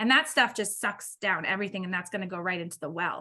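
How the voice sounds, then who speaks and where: A woman speaks at a fairly quick pace. Her tone is bright and sharp. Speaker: water utility presenter. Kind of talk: public meeting presentation. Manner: fast.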